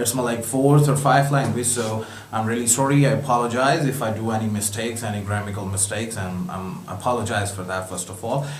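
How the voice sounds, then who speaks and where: A man speaks at a fairly quick pace with hardly any pauses, with music in the background and audible room echo. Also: medium pitch for a man, ordinary pitch variation. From Pakistan. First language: not English. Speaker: home distiller, viewer. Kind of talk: video message.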